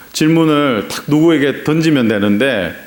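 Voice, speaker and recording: In a Gyeongsang accent, a man talks with ordinary pitch variation over noticeable background noise and audible room echo. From Gyeongsang region, South Korea. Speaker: pastor. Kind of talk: sermon. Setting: church.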